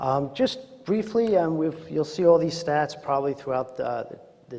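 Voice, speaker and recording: A man in a Queens accent talks at a moderate pace against noticeable background noise. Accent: Queens, New York. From Queens, New York City. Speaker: psychologist and presenter on addiction. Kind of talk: conference presentation. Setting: conference room with audience, remote mic. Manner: frequent filler words and hesitations.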